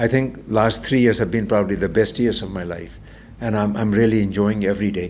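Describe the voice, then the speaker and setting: In a room with audible echo, a man talks at a fairly quick pace, his fairly low voice flat and monotone. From India. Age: 70s. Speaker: transformational coach. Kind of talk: interview conversation.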